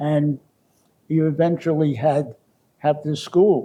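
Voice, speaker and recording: In a monotone, flat intonation, a man speaks with a dark, mellow tone at a fairly high pitch. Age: 90s. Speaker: medical school founder and former professor. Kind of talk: interview reminiscence. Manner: halting, with false starts.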